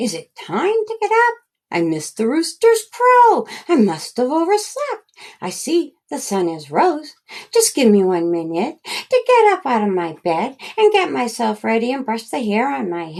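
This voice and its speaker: A woman puts on a high-pitched character voice at a moderate pace. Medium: read story. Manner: warm, gentle.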